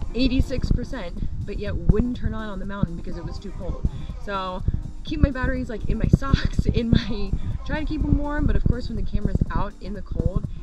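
Loud music plays behind a woman speaking at a moderate pace with ordinary pitch variation. The sound is dry, with no echo. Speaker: travel vlogger. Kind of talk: casual vlog chat. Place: car. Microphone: phone near.

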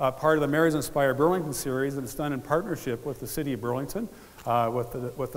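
A man's very fast delivery with ordinary pitch variation. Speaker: event host. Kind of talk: public speech. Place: stage. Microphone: headset.

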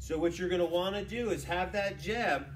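There is light background noise. A man speaks at a moderate pace. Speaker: boxing coach. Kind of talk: tutorial. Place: gym. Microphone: camera far.

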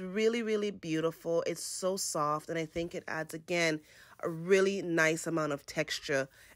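A woman's fairly low voice with lively intonation at a moderate pace, dry with no echo, over a quiet background. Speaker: home decor vlogger. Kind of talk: casual home tour narration. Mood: warm, enthusiastic. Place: home room. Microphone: phone near.

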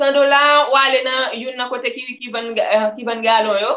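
At a moderate pace, a woman with a high pitch speaks with fairly even intonation. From Haiti. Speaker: personal development vlogger. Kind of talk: live-stream talk. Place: home room. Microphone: webcam.

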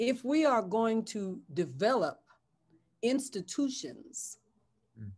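In an American accent, a woman speaks very slowly and somewhat breathily at a fairly high pitch, with very wide pitch swings and long, frequent pauses. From San Francisco, US West Coast; California. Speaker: bishop and pastor; bishop, pastor. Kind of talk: interview conversation. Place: home room. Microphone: webcam.

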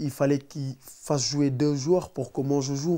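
At a fairly slow pace, a man speaks with a fairly high pitch, a dark, mellow tone and monotone, flat intonation. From Senegal, Dakar suburbs; Senegal. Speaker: professional footballer; interviewee. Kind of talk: interview. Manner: halting, many repetitions. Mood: relaxed, storytelling. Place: home room.

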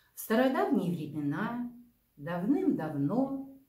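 Against a quiet background with audible room echo, a woman with a dark, mellow tone speaks very slowly with very wide pitch swings. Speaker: librarian or storyteller. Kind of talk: reading a fable aloud. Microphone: camera far.

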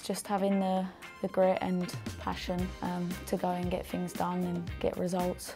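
A woman with a fairly low voice talks at a fairly slow pace. Faint music plays behind her. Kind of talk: interview answer. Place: meeting room. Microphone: lapel.

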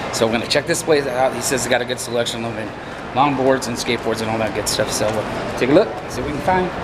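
Loud background noise fills the recording. A man talks at a very fast pace with ordinary pitch variation. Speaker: family vlogger. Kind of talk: casual vlog chat. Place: shop. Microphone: phone near.

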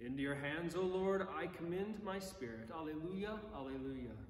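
There is audible room echo and light background noise as a man speaks at a fairly high pitch. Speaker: priest. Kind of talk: bedtime story read aloud to children, gentle and cozy, between prayers; compline service, liturgical prayer. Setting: online video service from church, addressing viewers. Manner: playful, expressive storyteller voice, lightly animated. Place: church. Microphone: camera far.

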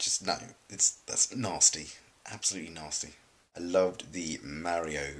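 The man keeps his speech at a moderate pace. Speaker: collab channel vlogger. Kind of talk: casual vlog chat. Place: home room. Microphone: webcam.

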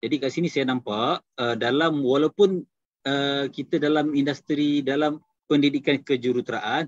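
A plain, everyday voice speaks at a moderate pace with fairly even intonation, dry sound with no echo, and a quiet background. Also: man. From Kedah, Malaysia. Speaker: takaful agency director; presenter. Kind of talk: business talk. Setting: video call. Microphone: video call.

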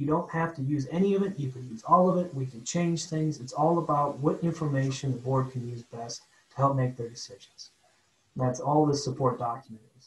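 A man speaks at a fairly quick pace in an ordinary speaking voice, his pitch fairly high with ordinary variation and his loudness swinging widely. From Ohio. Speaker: airport bureau chief, former airline pilot. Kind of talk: meeting presentation.

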